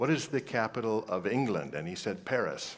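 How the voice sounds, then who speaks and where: A man's fairly low-pitched, plain, everyday voice at a moderate pace. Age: 60s. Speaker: choral conductor leading a reading session. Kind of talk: workshop instruction to choir directors.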